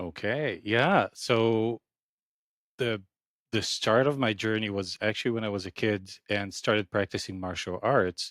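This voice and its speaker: A man with a fairly low pitch talks at a fairly slow pace and ordinary pitch variation, the sound dry and close with no echo in a very clean recording against a silent background. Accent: non-native. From Ukraine, then Israel as a teenager. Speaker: acupuncturist. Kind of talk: podcast interview.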